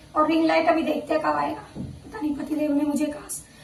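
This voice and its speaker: Audible room echo colors the recording. A woman speaks at a moderate pace in a high pitch. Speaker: vlogger. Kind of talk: casual vlog talk. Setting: at home.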